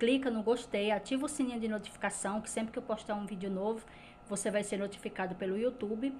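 Over light background noise, a woman talks in a somewhat breathy voice with a fairly high pitch and fairly even intonation. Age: 40s. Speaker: lifestyle vlogger. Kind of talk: casual vlog talk to camera. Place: kitchen.

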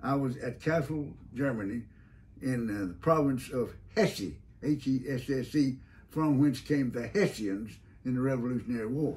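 A man speaks at a moderate pace with ordinary pitch variation, a somewhat breathy voice and long, frequent pauses. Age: 80s+. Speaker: WWII veteran, retired judge. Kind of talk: interview answer. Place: office. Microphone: camera far.

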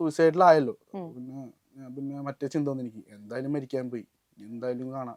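Against a quiet background with a dry, close sound and no echo, a man in an unremarkable speaking voice talks at a medium pitch with ordinary pitch variation and big swings in loudness. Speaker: rapper. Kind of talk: interview conversation.

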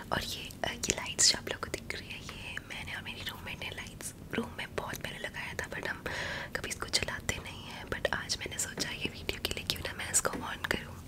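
The speaker is a woman who whispers. She keeps a moderate pace. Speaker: ASMR content creator. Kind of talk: ASMR whispered rambling to camera. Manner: whispered, soft, intimate. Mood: warm, friendly. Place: home room. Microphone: studio mic.

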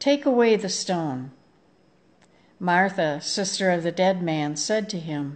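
The pace is very slow. Pitch varies in an ordinary way. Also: woman. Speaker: scripture reader at online service. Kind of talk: liturgical scripture reading. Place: home room. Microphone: phone near.

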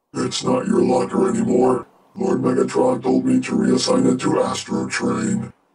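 Raspy and clearly a put-on character voice, it moves at a moderate pace. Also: man. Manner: deadpan.

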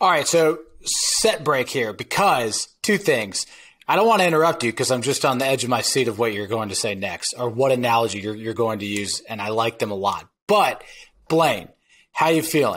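An ordinary speaking voice from a man at a medium pitch and moderate pace, with lively intonation and a quiet background. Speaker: podcast co-host. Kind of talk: interview. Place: home room.

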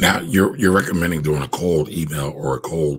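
Over a quiet background, a man with a very deep, low pitch and vocal fry talks at a moderate pace with ordinary pitch variation. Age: 40s. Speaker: podcast host. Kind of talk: interview. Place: home room. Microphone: studio mic.

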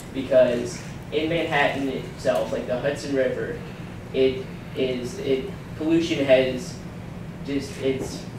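With audible room echo and noticeable background noise, a man speaks at a very slow pace, fairly even in intonation and marked by long, frequent pauses. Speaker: presenter. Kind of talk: presentation. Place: hall. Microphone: camera far.

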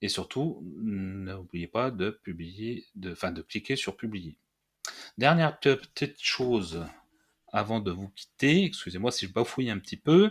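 The man's intonation is lively. He goes at a very slow pace. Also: fairly low pitch for a man, very clean recording, silent background. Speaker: WordPress tutorial youtuber. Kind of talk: screen-recorded software tutorial. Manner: halting with many fillers.

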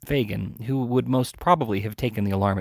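Ordinary rises and falls in pitch across a natural reading voice

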